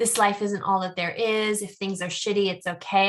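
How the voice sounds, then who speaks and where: In a bright, sharp tone, a woman with an American accent talks at a fairly quick pace and a medium pitch. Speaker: podcast co-host. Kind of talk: casual podcast discussion. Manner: stuttering momentarily.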